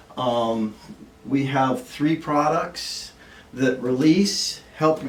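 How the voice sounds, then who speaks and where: With audible room echo and noticeable background noise, a man speaks at a medium pitch. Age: 70s. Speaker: supplement distributor. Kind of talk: informal presentation. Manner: halting, many fillers.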